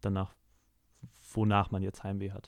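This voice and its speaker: A man speaks at a moderate pace with a fairly low pitch and a dark, mellow tone. The recording is very clean, with a silent background. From Hamburg area, northern Germany. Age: 20s. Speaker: singer-songwriter and music student. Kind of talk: interview.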